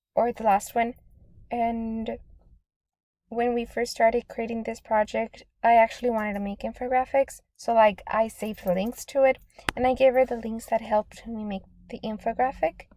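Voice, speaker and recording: Her dark, mellow voice sits fairly high and moves at a moderate pace in a flat monotone. This woman's loudness swings widely, and the sound is dry and close with no echo. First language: Spanish. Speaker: student. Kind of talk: class presentation. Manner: casual, with fillers and restarts.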